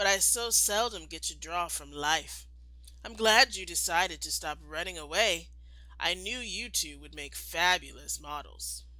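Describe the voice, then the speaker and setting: A put-on character voice unfolds at a moderate pace. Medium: read story. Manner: enthusiastic, refined.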